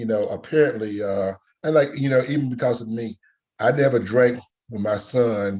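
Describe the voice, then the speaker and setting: Speech moves at a moderate pace with ordinary pitch variation. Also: man. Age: 60s. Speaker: father on a panel. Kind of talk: casual chat. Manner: halting, many fillers.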